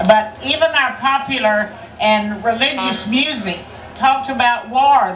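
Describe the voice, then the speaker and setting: Recorded with audible room echo and noticeable background noise, a woman speaks in a Texan accent. Her fairly high pitch shows ordinary variation as she goes at a fairly slow pace. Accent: Texan Southern American. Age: 80s+. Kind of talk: rally speech. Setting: outdoor rally with crowd.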